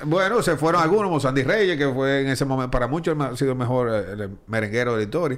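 A man's medium-pitched voice at a very fast pace with hardly any pauses, lively intonation and very even loudness, plus audible room echo and noticeable background noise. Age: 40s. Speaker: baseball broadcaster. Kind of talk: casual interview.

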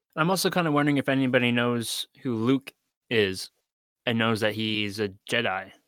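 A man with a Canadian accent and a normal speaking voice talks at a moderate pace, at medium pitch with ordinary pitch variation. The recording is very clean with a silent background and a dry, close sound with no echo. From Canada. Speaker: podcast guest. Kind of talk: casual chat.

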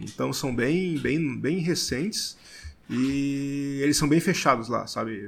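On a very clean recording with a silent background, a man speaks fairly slowly. He has a plain, everyday voice with ordinary pitch variation. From Blumenau, Santa Catarina, southern Brazil. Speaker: brewer. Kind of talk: casual podcast interview.

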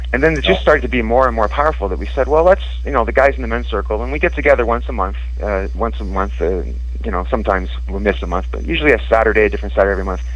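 Against noticeable background noise and audible room echo, a man speaks very fast in a very deep, low voice with monotone, flat intonation. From Scotland. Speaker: musician and voodoo practitioner. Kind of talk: interview. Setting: radio show.

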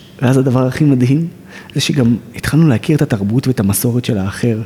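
Noticeable background noise sits behind a man speaking at a moderate pace with a medium pitch and ordinary pitch variation. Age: 30s. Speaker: social activist, nonprofit director. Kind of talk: interview.

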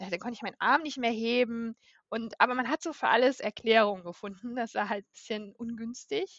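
A woman with a plain, everyday voice talks at a fairly quick pace and fairly high pitch. Her pitch variation is ordinary, while her loudness swings widely. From northern Germany, Baltic coast. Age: 30s. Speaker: patient with a chronic illness. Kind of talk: interview. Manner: frequent filler sounds.

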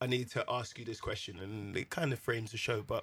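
A man with a London accent speaks in a somewhat breathy voice with ordinary pitch variation. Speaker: podcast host. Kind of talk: casual chat. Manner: animated.

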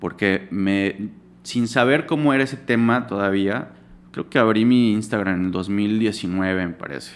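At a fairly slow pace, a man with a plain, everyday voice speaks at a fairly low pitch with ordinary pitch variation. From Yucatán, Mexico. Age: 30s. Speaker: graphic designer. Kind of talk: casual interview chat.

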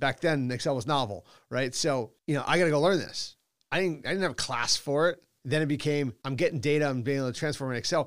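A man with an American accent speaks at a very fast pace with a fairly high pitch and ordinary pitch variation, recorded very cleanly with a silent background. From Boston, US. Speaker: company executive. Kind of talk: interview conversation.

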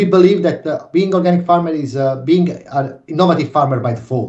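In an Italian accent, a man with a fairly high pitch and a dark, mellow tone sounds somewhat breathy, speaking at a fairly quick pace with lively intonation. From Naples, Italy. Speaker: organic farming association director. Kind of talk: interview.

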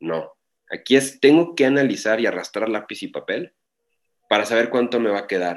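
A man with an ordinary speaking voice, medium pitch, lively intonation and a moderate pace. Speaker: e-commerce and marketing consultant. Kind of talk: interview. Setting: online call.

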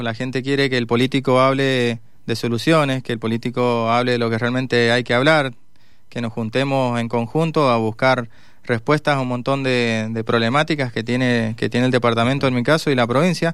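A man with a medium-pitched voice speaks at a moderate pace in a monotone, flat intonation. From Mendoza, Argentina. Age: 40s. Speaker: mayoral candidate, politician. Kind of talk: radio interview. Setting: radio studio.

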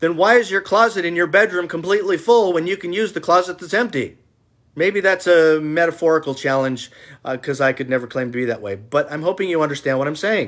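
In a very clean recording with a silent background, a man talks very fast at a high pitch with lively intonation. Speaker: political video blogger. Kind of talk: casual monologue. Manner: passionate, intense.

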